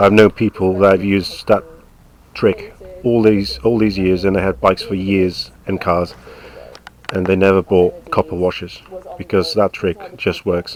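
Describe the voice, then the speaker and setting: A man's fairly low voice at a moderate pace, with long, frequent pauses and noticeable background noise. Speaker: motorcycle owner, home mechanic. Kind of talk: casual how-to commentary over video. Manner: casual, hesitant.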